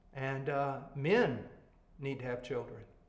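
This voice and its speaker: A man's voice with audible room echo. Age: 60s. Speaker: preacher and Bible teacher. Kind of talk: Bible teaching to pastors. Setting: video call. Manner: blunt, emphatic.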